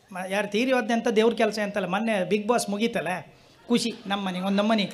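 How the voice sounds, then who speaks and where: A man in a coastal Karnataka accent speaks at a high pitch with fairly even intonation. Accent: Kundapura Kannada dialect. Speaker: comedian. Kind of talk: stand-up comedy routine on stage.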